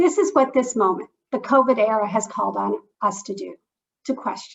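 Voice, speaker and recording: A woman with a Canadian accent, high-pitched, with very wide pitch swings. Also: moderate pace. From Canada. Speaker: public health program officer at a philanthropy. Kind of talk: discussant remarks at online lecture. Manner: formal.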